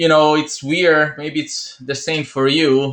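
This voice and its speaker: A man speaks with an Italian accent at a moderate pace. His tone is bright and sharp. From Italy. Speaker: entrepreneur video host. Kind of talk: motivational talk to camera.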